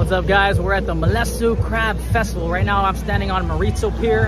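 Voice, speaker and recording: A man talks at a fairly quick pace in a dry recording with no echo, while clear music plays in the background. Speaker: vlogger giving a live walking tour. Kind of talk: casual vlog chat. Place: waterside. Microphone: phone near.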